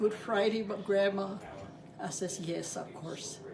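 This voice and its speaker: A woman at medium pitch, fairly slow pace and fairly even intonation, with noticeable background noise and audible room echo. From New Mexico, Santa Fe. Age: 80s+. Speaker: grandmother sharing family memories. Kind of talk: family interview, reminiscing. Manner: halting.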